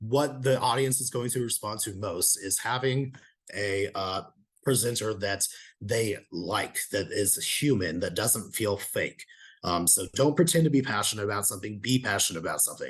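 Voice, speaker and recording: Against a quiet background, a man with a medium-pitched, shaky, somewhat breathy voice speaks at a moderate pace with ordinary pitch variation. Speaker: presenter on video marketing. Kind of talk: lecture. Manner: shaky voice.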